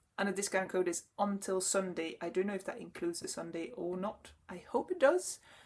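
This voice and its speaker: A woman talks at a fairly quick pace with hardly any pauses. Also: medium pitch for a woman, ordinary pitch variation. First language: French. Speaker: knitting podcaster. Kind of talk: casual chat. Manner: halting.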